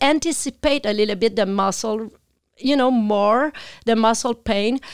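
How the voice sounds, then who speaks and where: Heard in a very clean recording with a silent background and a dry, close sound with no echo, a woman with a strong Quebec accent talks at a moderate pace and a fairly high pitch, with ordinary pitch variation and very even loudness. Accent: thick French Quebec. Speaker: animal communicator. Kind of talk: interview.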